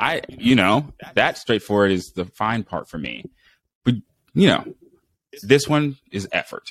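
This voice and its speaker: A man with an American accent at medium pitch, very wide pitch swings and vocal fry, at a fairly slow pace with long, frequent pauses, in a dry, close sound with no echo. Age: 20s. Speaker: podcast host and Marine Corps veteran. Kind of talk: casual interview chat. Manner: animated.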